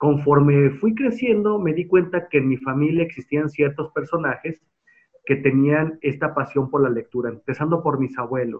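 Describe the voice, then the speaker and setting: Using an ordinary speaking voice, a man talks at a moderate pace with fairly high pitch. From Mexico, Guadalajara. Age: 30s. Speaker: museum director. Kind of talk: interview.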